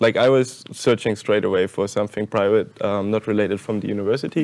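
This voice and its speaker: A man with a German accent, moderate pace and fairly even intonation, over a quiet background. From Germany. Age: 20s. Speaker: university student. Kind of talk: panel discussion. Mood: relaxed, friendly. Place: hall. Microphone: lapel.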